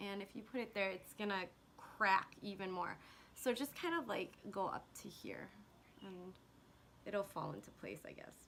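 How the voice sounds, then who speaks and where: A woman talks at a moderate pace with ordinary pitch variation. Her loudness swings widely, and she leaves long, frequent pauses. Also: medium pitch for a woman. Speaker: beauty vlogger. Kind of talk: makeup tutorial. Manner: casual, chatty.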